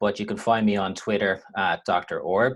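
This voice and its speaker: A man speaks with an Irish accent. His pace is moderate. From Ireland. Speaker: university lecturer. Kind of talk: webinar lecture. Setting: online webinar with screen share.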